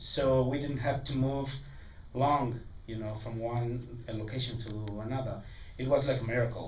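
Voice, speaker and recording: A man with a medium pitch speaks at a moderate pace with fairly even intonation and long, frequent pauses. Noticeable background noise and audible room echo are present. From Mexico. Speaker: film director. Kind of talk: festival Q&A. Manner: halting, many repeats and fillers.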